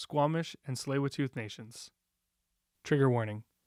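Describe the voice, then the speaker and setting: At a fairly quick pace, a man speaks in an unremarkable speaking voice with a fairly high pitch. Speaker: podcast host. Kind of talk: scripted podcast intro.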